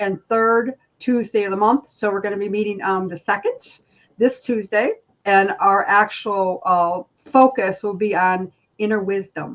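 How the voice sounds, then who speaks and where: A woman in a normal speaking voice, medium in pitch, at a fairly slow pace. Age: 60s. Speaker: spiritual healer. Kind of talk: casual chat.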